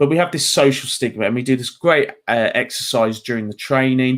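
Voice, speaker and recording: A man with a southern English accent, speaking at a moderate pace. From England, just outside London. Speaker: mental health trainer. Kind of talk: talk. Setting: video call. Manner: animated.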